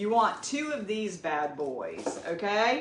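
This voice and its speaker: With a Southern US accent, a woman of medium pitch speaks at a very slow pace with lively intonation, and audible room echo is present. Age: 50s. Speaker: cooking vlogger. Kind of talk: cooking tutorial. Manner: casual and chatty.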